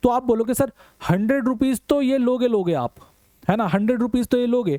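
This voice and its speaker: Heard in a dry, close sound with no echo, a man speaks with lively intonation. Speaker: online teacher. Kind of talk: lecture.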